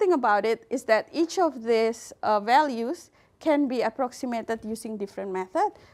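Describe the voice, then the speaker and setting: A woman's fairly high-pitched voice in an Indonesian accent, with lively intonation at a moderate pace, in a very clean recording with a silent background. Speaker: computer science researcher. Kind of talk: lecture. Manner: hesitant, many fillers.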